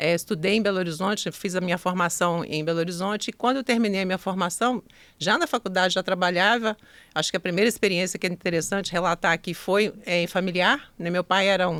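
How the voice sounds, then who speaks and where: The speech goes at a very fast pace with fairly even intonation. It is a very clean recording with a silent background. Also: woman, medium pitch for a woman. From Minas Gerais, Brazil (Zona da Mata). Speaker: entrepreneur. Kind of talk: podcast interview.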